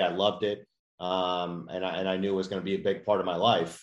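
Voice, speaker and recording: This man has a plain, everyday voice with an American accent. His pitch is fairly low, and he keeps a moderate pace. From US Midwest, Chicago. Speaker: junior golf tour executive. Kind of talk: podcast interview.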